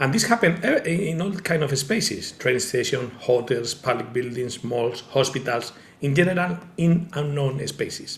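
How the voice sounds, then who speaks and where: Over noticeable background noise, a man with a strong Spanish accent speaks at a fairly high pitch and a moderate pace, with lively intonation and hardly any pauses. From Spain. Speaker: tech company founder presenting a product. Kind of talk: online presentation with demonstration. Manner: halting, many fillers.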